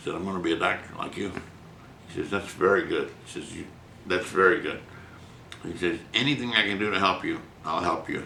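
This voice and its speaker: There is audible room echo as a man talks. He has an American accent and a fairly quick pace. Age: 80s+. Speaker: physician, writer and painter. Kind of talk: interview. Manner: animated storytelling.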